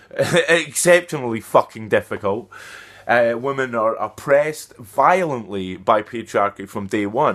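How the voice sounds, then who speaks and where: With a Scottish accent, the speaker talks at a fairly slow pace with lively intonation on a very clean recording with a silent background. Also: man, medium pitch for a man. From Scotland. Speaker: activist. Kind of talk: vlog monologue. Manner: direct, emphatic; halting.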